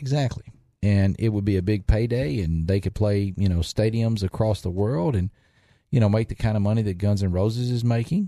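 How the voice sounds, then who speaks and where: Against a quiet background, a man with a Southern US accent speaks at a fairly quick pace, his dark, mellow tone sitting at a fairly low pitch with ordinary pitch variation. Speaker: restaurant owner. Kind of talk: casual chat. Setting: studio.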